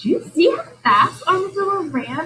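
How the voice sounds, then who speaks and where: A put-on character voice, shrill and extremely high in pitch, with very wide pitch swings at a moderate pace. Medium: read story.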